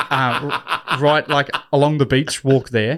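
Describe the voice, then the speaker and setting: Recorded very cleanly against a silent background, a man with an Australian accent speaks at a fairly high pitch. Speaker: podcast co-host. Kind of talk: casual chat.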